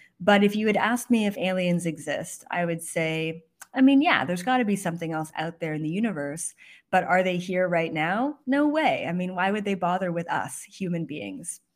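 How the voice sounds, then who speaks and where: Her pitch is medium, and her intonation is lively as she moves at a moderate pace. The woman has a plain, everyday voice, heard in a very clean recording with a silent background. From Canada. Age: 20s. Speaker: psychic. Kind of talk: interview.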